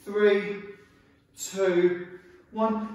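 A man's voice with strong room echo. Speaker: fitness instructor. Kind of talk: workout instruction. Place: empty room.

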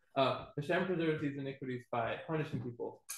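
The man talks at a very fast pace with fairly even intonation. Room echo is audible. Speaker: student in a Torah class; class teacher. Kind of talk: class discussion. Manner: tentative, many fillers. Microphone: webcam.

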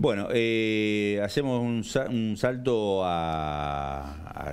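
The intonation is lively as this man talks. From Argentina. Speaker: TV journalist. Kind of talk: TV interview. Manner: hesitant, many fillers. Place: studio. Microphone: lapel.

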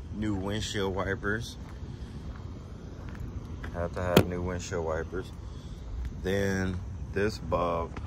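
Speaking at a very slow pace, a man with a very deep, low voice keeps fairly even intonation in a dry recording with no echo but noticeable background noise. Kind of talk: casual vlog chat. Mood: relaxed, pleased. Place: street. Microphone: phone near.

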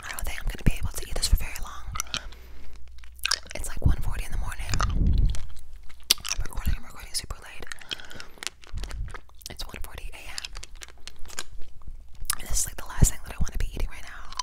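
Talking at a very fast pace, a woman leaves long, frequent pauses. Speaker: ASMR creator. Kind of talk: ASMR mouth sounds and whispered talk to camera. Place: home room.

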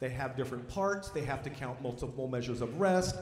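A man speaks at a fairly quick pace with audible room echo. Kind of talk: concert announcement to audience. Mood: proud, upbeat. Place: stage. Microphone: handheld.

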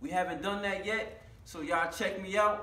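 A man talks in a raised, projected voice at a moderate pace. Audible room echo surrounds him. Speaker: fitness vlogger. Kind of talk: casual vlog chat. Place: gym. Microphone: camera far.

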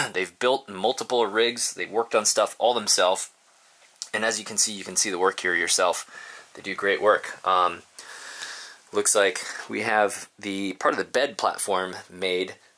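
With a normal speaking voice, a man talks at a moderate pace, his fairly low pitch following fairly even intonation. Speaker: vlogger showing his bus build. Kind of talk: casual vlog chat. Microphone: phone near.

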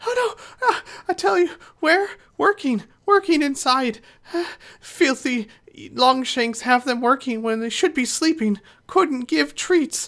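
A man does a squeaky, put-on character voice at an extremely high pitch. He talks at a fairly slow pace with long, frequent pauses. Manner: nervous, pleading; broken speech, talks about himself by name, timid.

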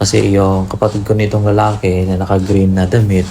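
Noticeable background noise sits behind a man with a very deep, low pitch who talks at a moderate pace in a monotone, flat intonation. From Philippines, rural village. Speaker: vlogger. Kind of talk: casual vlog narration.

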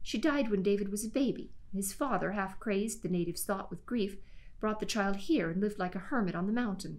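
Lively intonation over plain reading aloud.

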